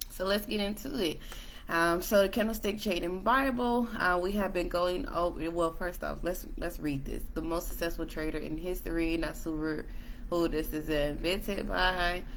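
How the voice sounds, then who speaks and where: There is audible room echo around a woman with a fairly low pitch. She speaks at a moderate pace with ordinary pitch variation. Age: 20s. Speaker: trading educator. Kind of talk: tutorial. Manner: hesitant, many fillers.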